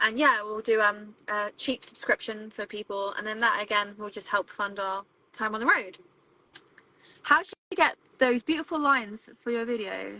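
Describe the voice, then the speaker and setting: A woman's bright, sharp voice with a British accent, fairly high in pitch with ordinary variation, at a moderate pace, big swings in loudness, and a dry, close sound with no echo. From England. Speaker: travel vlogger and photographer. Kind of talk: live stream Q&A chat. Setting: live stream from a van with video calls. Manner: casual, chatty.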